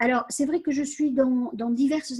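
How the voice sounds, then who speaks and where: A woman speaks in a dark, mellow tone with ordinary pitch variation, the sound dry and close with no echo. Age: 70s. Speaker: community centre volunteer administrator. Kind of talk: interview. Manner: halting, many hesitations.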